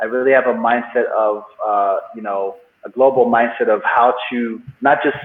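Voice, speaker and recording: Medium-pitched man at a moderate pace. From Nigerian-born, raised in England, then US from 13. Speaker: entrepreneur and business coach. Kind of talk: interview. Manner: animated.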